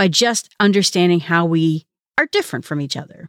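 With very wide pitch swings, a woman talks at a moderate pace in a dry, close recording with no echo that is very clean, over a silent background. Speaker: podcast host. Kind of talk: solo podcast monologue about a book. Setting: solo podcast episode.

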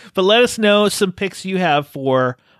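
A man talks in a plain, everyday voice at a moderate pace with lively intonation. The sound is dry and close, with no echo. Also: very clean recording, silent background. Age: 40s. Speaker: film podcast host. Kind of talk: casual chat.

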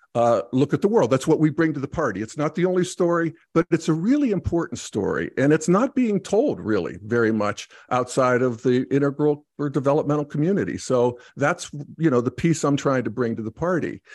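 Lively intonation carries this fairly quick delivery with hardly any pauses, recorded with a dry, close sound with no echo against a quiet background. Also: man, fairly high pitch for a man. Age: 60s. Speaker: podcast host and integral commentator. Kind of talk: casual conversation. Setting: video call. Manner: halting, many fillers.

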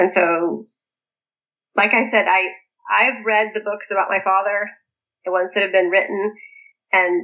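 Speaking at a moderate pace, a woman has a medium pitch and fairly even intonation. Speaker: author and former polygamist cult member. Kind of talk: interview, personal life story.

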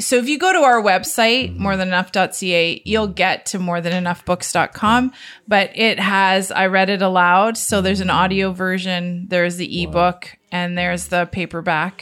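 A woman with a Canadian accent speaks in an ordinary speaking voice at a medium pitch. Her pace is moderate, with hardly any pauses. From Southern Ontario, Canada. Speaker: author and radio co-host. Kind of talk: storytelling interview.

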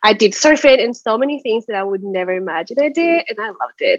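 A woman speaks at a moderate pace in a Spanish accent. The sound is dry and close, with no echo. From Chile. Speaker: small business owner. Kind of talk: advice session.

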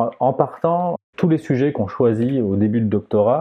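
A man at a moderate pace. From southern France, Aix-en-Provence. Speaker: astrophysicist and planetarium director. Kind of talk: interview conversation. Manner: halting, many repetitions.

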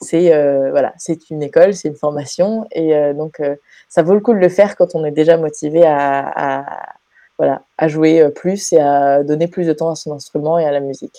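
This woman's voice is very deep and low in pitch, with a dark, mellow tone. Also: fairly even intonation, moderate pace. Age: 20s. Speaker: bass student. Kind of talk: testimony. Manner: halting.

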